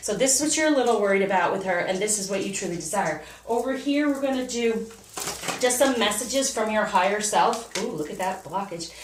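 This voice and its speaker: Fairly quick and lively, a woman speaks at a fairly high pitch. Audible room echo and noticeable background noise are present. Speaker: tarot reader. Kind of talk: personal tarot reading. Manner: fast.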